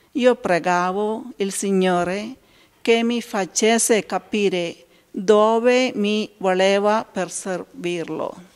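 Against a quiet background, a woman with an Indian accent speaks at a very slow pace, her medium pitch showing ordinary variation. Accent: Indian-accented Italian. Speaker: consecrated laywoman. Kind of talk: testimony. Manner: halting. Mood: calm, earnest. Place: church. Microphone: handheld.

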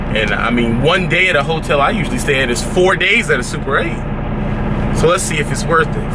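A man rattles along at a very fast pace while loud background noise plays. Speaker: truck driver vlogger. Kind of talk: casual vlog chat. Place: car. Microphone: phone near.

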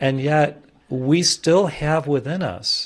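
Over a quiet background, a man speaks at a very slow pace. His voice is somewhat breathy. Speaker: spiritual teacher. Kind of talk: sermon. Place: hall. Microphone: studio mic.

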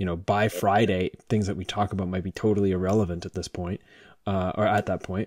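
A man talks at a very fast pace in a fairly low, dark, mellow voice with fairly even intonation. The sound is dry with no echo, and the background is quiet. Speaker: podcast host. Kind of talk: casual conversation. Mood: calm, thoughtful. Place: home room. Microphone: studio mic.

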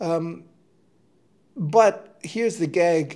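A man's fairly high-pitched voice with a dark, mellow tone against a quiet background. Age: 50s. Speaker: trumpet player. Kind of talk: casual monologue to camera. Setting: home studio. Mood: relaxed storytelling. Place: home room. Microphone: lapel.

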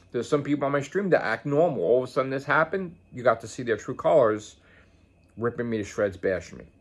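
An American-accented man speaks at a very fast pace in an animated tone, medium in pitch with lively intonation. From Staten Island, New York. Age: 50s. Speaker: gaming streamer. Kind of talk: casual vlog monologue. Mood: annoyed, defensive. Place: home room. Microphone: phone near.

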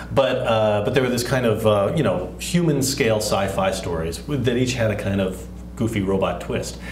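A man with an American accent at a moderate pace, with audible room echo and light background noise. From Texas. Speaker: comic book writer and filmmaker. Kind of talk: interview. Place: studio.

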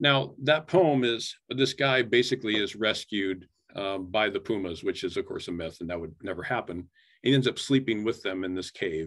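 A man talks at a moderate pace with a Midwestern American accent. The background is quiet. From Iowa. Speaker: photographer and poet, creative writing professor. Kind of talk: artist talk presentation. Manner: casual. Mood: relaxed, enthusiastic. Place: home room. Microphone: webcam.

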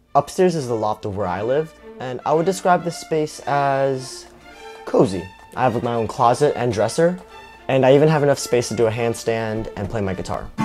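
Faint background music accompanies a man who speaks at a medium tempo. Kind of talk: casual vlog chat. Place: home room. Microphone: lapel.

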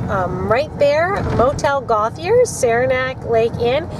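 Someone speaks at a very slow pace against noticeable background noise. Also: woman, dry sound with no echo. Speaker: parent vlogger. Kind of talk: casual vlog chat. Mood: nostalgic, cheerful. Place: car.

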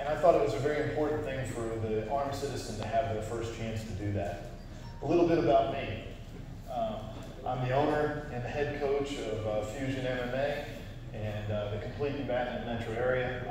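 Amid strong room echo and background music, a man speaks at a moderate pace with long, frequent pauses. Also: ordinary pitch variation. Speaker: presenter, instructor. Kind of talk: lecture. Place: hall. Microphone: camera far.

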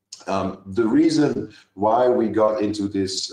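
Audible room echo surrounds a man as he speaks. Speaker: chemistry professor. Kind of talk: lecture.

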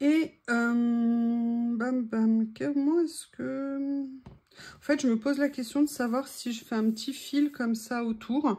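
Keeping her intonation fairly even, a woman speaks at a high pitch with a dark, mellow tone. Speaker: craft youtuber. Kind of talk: crafting tutorial. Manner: casual, chatty with hesitations.

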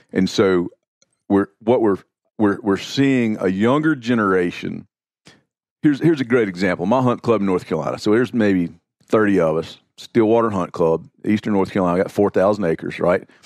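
With an American accent, a man speaks at a moderate pace in a fairly low pitch, with ordinary pitch variation and an ordinary speaking voice. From US South. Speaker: outdoor writer. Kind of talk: casual chat.

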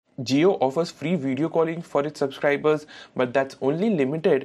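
A slightly mellow tone at a moderate pace, with ordinary pitch variation. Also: man.

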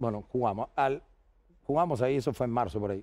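The delivery is very fast, with a dark, mellow tone. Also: man. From Argentina, Bahía Blanca; Argentina. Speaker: basketball coach. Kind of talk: casual interview chat. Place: studio. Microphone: headset.

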